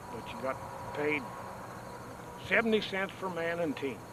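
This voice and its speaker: A man with an American accent speaks at a moderate pace in a high voice with ordinary pitch variation. Background noise is noticeable. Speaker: oil field old-timer. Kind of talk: reminiscence.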